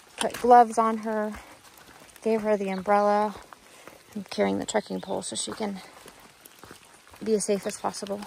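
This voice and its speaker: The voice moves at a moderate pace, with a dry sound free of echo and light background noise behind it. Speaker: hiker vlogger. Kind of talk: casual vlog chat. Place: forest. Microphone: phone near.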